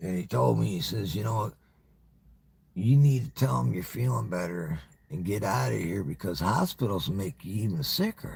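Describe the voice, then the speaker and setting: A man's very deep, low voice with vocal fry and very wide pitch swings, at a moderate pace. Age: 60s. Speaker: YouTuber livestreamer. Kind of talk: casual monologue livestream. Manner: halting, repetitive stammering; casual, profane.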